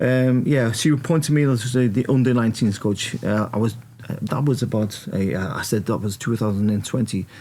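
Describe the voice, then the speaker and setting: This man's voice sits at a medium pitch with a dark, mellow tone and ordinary pitch variation. He talks at a fairly quick pace, keeping his loudness very even. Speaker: former footballer and football coach. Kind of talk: podcast interview. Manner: halting.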